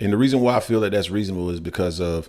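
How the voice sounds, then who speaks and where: A man talks over noticeable background noise. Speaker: boxing podcast host. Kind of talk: casual chat. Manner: fast.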